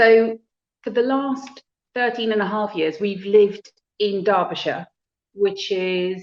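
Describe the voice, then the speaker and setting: Music plays behind a woman speaking at a medium pitch. Her sound is dry and close, with no echo. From South Africa. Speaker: HR manager. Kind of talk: casual interview.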